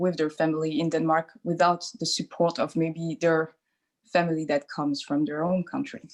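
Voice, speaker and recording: Speaking with a French accent, a woman uses a fairly low pitch, ordinary pitch variation and a moderate pace. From France. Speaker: doula. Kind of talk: interview. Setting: video call.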